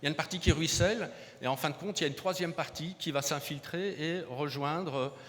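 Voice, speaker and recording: Over a silent background in a very clean recording, a man speaks at a fairly quick pace. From southern France, Montpellier. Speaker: hydrogeology researcher. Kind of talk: conference keynote. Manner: halting, many repetitions and hesitations.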